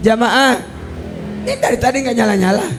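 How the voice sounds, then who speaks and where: Crowd noise fills the background while the room echo is clearly audible. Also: man. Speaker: Islamic preacher. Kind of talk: religious lecture. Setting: venue by the roadside with live audience.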